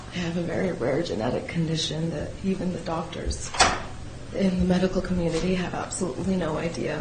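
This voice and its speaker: A woman with a fairly low pitch talks at a fairly quick pace. Noticeable background noise and audible room echo surround her voice. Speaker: defendant. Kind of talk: testimony. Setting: courtroom.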